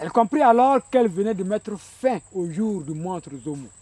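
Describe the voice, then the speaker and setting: A man's high, dark, mellow voice, passionate in tone, fairly slow, with very wide pitch swings and a dry, close sound with no echo. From Burkina Faso. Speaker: storyteller. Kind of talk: traditional oral storytelling performance. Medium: stage.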